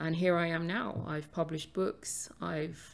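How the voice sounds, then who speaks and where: A woman's very deep, low voice with a London accent and fairly even intonation. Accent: London English, UK. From London, England. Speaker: podcast host and author.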